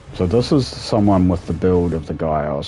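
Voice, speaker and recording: Music plays behind a man who talks at a fairly quick pace. His pitch varies in an ordinary way, and room echo is audible. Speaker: gaming streamer. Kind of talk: live gameplay commentary. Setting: at home, late night stream. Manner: quieter, subdued after being told.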